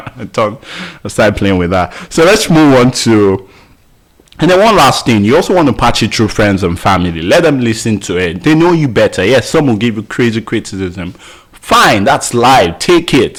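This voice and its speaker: A man talks at a moderate pace with medium pitch and lively intonation. Noticeable background noise runs underneath. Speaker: podcasting course instructor. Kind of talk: tutorial. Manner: filler words, self-corrections.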